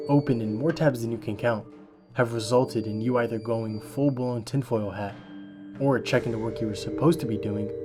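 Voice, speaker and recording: Over music in the background, a man speaks at a moderate pace with a medium pitch and ordinary pitch variation. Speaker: voice actor. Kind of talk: documentary narration.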